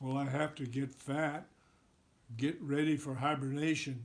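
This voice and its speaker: Using a put-on character voice, a man talks at a moderate pace and a fairly high pitch. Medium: read story.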